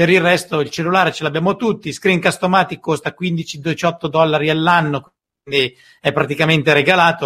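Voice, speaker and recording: A man's fairly high, bright, sharp voice with fairly even intonation at a moderate pace, in a very clean recording with a silent background. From northern Italy, Como. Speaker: podcast host. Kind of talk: interview.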